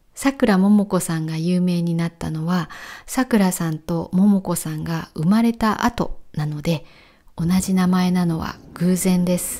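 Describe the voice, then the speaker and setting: A woman speaks at a fairly slow pace and a fairly low pitch, with ordinary pitch variation. She has a normal speaking voice. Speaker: Japanese language teacher. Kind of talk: walking vlog narration for learners. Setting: outdoors. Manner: clear, slow-paced for learners.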